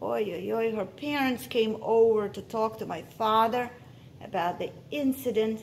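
A voice reading aloud, natural in tone

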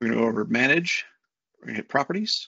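Pitched in a medium range, a man's voice has a bright, sharp tone, vocal fry and a slightly husky edge.

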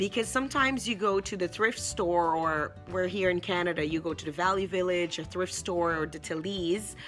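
Faint music plays in the background as a woman speaks in a fairly low voice with ordinary pitch variation. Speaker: home decor vlogger. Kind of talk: casual vlog chat. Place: home room. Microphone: phone near.

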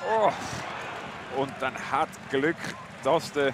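Over crowd noise in the background, a man speaks very slowly at a fairly high pitch. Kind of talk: live sports commentary over match footage.

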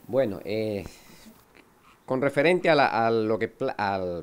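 A man at a medium pitch with lively intonation. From Ecuador (Quevedo, Guayaquil). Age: 60s. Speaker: artist. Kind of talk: interview monologue. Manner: halting, with repetitions.

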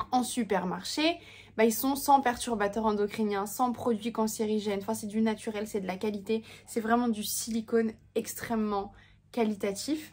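A somewhat breathy woman's voice with fairly even intonation. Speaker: home cooking product vlogger. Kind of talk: casual vlog chat. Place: home room. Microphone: phone near.

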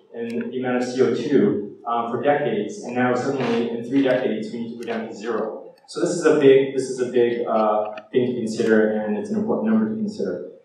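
Strong room echo and light background noise accompany a man who talks at a fairly quick pace with hardly any pauses and ordinary pitch variation. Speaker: speaker. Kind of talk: lecture. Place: hall.

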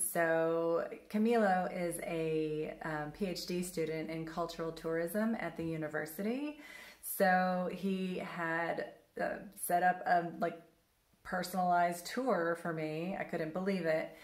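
The room echo is audible as a woman speaks at a fairly low pitch. Her pace is very slow and her intonation fairly even. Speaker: travel vlogger. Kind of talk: casual vlog chat. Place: home room. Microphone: phone near.

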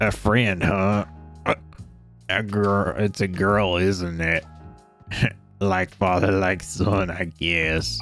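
A put-on character voice from a man, very deep and low and raspy, at a very slow pace with long, frequent pauses and clear music in the background.

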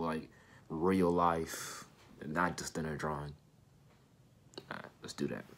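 A man in a monotone, flat intonation. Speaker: sneaker customizer. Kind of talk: tutorial vlog. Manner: halting, filler-heavy.

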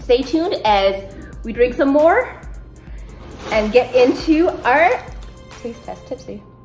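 At a very slow pace, a woman speaks in a high pitch with big swings in loudness as faint music plays in the background. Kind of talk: casual vlog chat. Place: home room. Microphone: phone near.

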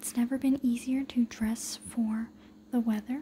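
Someone whispers at a fairly slow pace. Light background noise can be heard. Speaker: ASMR creator. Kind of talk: ASMR magazine flip-through rambling. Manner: whispered. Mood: relaxed, calm. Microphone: phone near.

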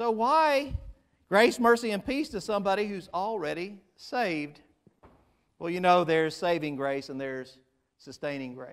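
Against a quiet background, a man speaks at a moderate pace, leaving long, frequent pauses. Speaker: pastor. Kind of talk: sermon. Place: church.

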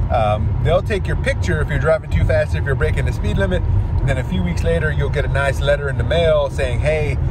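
Loud background noise is heard as a man talks fairly quickly. There is no echo, just a dry sound. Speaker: expat vlogger. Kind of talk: casual vlog chat. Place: car. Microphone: phone near.

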